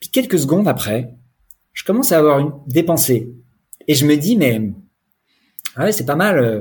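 A man's somewhat breathy voice swings very widely in pitch and greatly in loudness, broken by long, frequent pauses. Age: 40s. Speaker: sobriety coach. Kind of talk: testimony. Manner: halting.

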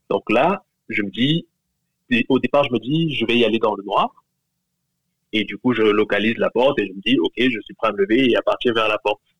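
Long, frequent pauses break up a man's speech, which otherwise moves at a moderate pace. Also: medium pitch for a man, ordinary pitch variation. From Cameroon. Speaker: listener sharing a story. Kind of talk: testimony.

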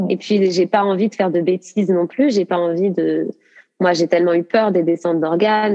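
Dry and close with no echo, the recording captures a woman at medium pitch. Her tone is dark and mellow, with fairly even intonation. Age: 30s. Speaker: dance teacher. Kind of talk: interview.

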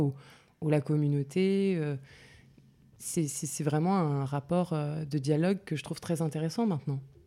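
A woman speaks at a fairly slow pace with a very deep, low pitch and a dark, mellow tone. Her pitch varies in an ordinary way, and the recording is very clean with a silent background. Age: 30s. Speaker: writer behind a humorous social media account. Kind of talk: interview. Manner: hesitant, many fillers and repetitions.

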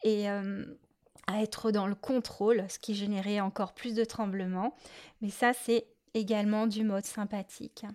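A woman speaks fairly slowly in a monotone, flat intonation. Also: medium pitch for a woman, very clean recording, silent background. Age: adult. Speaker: podcast host, adult-beginner clarinettist. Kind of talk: solo podcast monologue. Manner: hesitant, many fillers.

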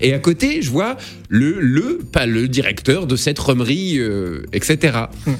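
A man's medium-pitched voice, very slow in pace, with lively intonation. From eastern France, Lorraine (Nancy suburbs). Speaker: comedian and radio host. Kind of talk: radio interview. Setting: radio studio.

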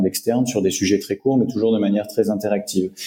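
Dark and mellow in tone, this man's voice sits at a medium pitch. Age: 30s. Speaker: HR director and digital learning expert. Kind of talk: interview. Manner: hesitant with fillers.

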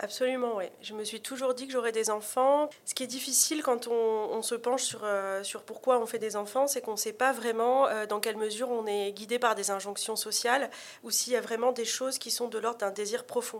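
A woman's fairly high-pitched, normal speaking voice, moderate in pace, fairly even in intonation and with hardly any pauses. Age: 30s. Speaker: author. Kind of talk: interview.

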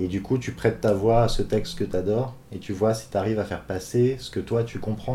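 A man talks fairly quickly at a fairly low pitch and hardly pauses. His tone is dark and mellow, with vocal fry and fairly even intonation. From Brittany, France. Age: 30s. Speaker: interviewee. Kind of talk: personal testimony. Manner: halting, many fillers.

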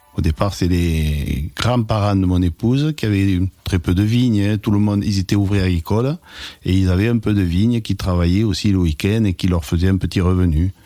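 Very deep and low, a man's voice with a dark, mellow tone keeps a very even loudness at a moderate pace with ordinary pitch variation. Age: 60s. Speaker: retired winegrower. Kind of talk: personal testimony. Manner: halting, with hesitations.

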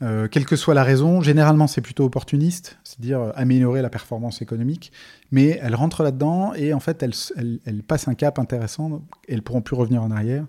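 Speaking at a very fast pace, a man uses a medium-pitched voice with a dark, mellow tone. The recording is very clean and the background silent. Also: ordinary pitch variation. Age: 40s. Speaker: entrepreneur. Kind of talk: podcast interview. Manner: halting.

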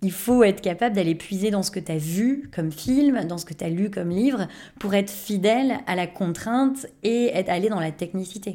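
A woman's dark, mellow tone with ordinary pitch variation, on a very clean recording with a silent background. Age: 30s. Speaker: improv actor. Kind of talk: casual interview.

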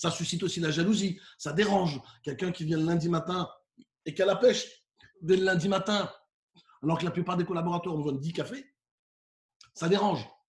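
A man speaks at a high pitch. He leaves long, frequent pauses. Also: ordinary pitch variation, fairly quick pace. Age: 40s. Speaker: professional keynote speaker. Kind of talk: interview.

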